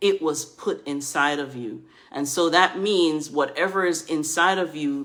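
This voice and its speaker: A woman with a very deep, low voice. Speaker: book strategist and editor. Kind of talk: monologue to camera. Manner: soft-spoken.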